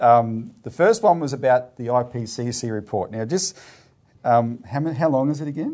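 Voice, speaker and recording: Medium-pitched man with an Australian accent and a dark, mellow tone. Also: ordinary pitch variation, moderate pace. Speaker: political party show presenter. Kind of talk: casual current-affairs discussion. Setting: video show.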